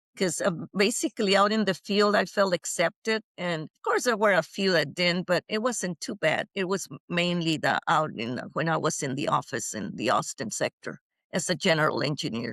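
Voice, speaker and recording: A woman with a Spanish accent speaks at a moderate pace in a fairly low pitch with lively intonation. The sound is dry and close, with no echo. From Mexico. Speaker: retired engineer. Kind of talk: interview. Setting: podcast interview. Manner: halting, many fillers.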